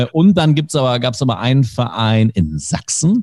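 A man at medium pitch, relaxed and somewhat breathy, with a dark, mellow tone and a moderate pace. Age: 30s. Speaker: sports commentator. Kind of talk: casual chat. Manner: relaxed, easy-going.

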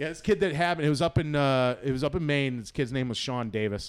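This man's fairly high voice carries a Boston accent and lively intonation. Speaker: comedian and former pro wrestler. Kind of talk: casual chat.

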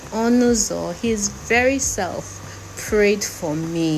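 A woman's voice with very wide pitch swings, noticeable background noise and audible room echo. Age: 50s. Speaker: podcaster. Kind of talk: personal monologue. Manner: animated.

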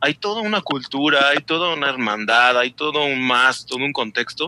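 Close and dry with no echo, the recording has a man speaking in a bright, sharp tone. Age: 40s. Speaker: novice motorcyclist. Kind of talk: casual chat.

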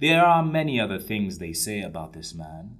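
This man has a normal speaking voice, delivered at a moderate pace with lively intonation. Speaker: narrator. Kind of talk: dramatic narration. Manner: wry, theatrical, building tension.

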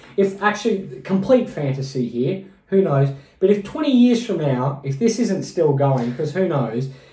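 Through audible room echo, a man with a high pitch and a dark, mellow tone speaks at a moderate pace with very wide pitch swings. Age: 30s. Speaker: podcast co-host and musician. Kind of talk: casual chat.

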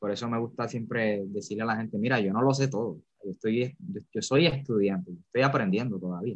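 A man speaks with a plain, everyday voice at a fairly quick pace. His pitch is medium, with ordinary variation. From Puerto Rico, Carolina. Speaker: theology student. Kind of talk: bible teaching in a live chat.

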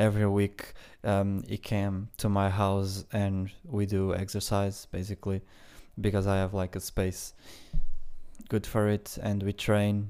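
This man has a dark, mellow tone and a fairly low pitch, speaking at a fairly slow pace in a flat monotone. The recording is very clean, with a silent background. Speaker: podcaster. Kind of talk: casual monologue. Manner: hesitant, with fillers.

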